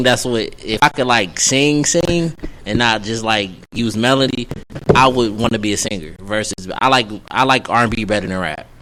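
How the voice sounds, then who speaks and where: Speaking at a moderate pace with an American accent, a man of medium pitch has a bright, sharp tone and ordinary pitch variation. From Texas, Dallas. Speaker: up-and-coming rapper. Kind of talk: radio interview.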